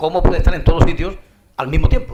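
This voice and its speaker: The speaker has an Andalusian accent and ordinary pitch variation. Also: man. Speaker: panel moderator. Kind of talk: conference panel moderation. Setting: conference hall with audience. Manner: halting, repeats words.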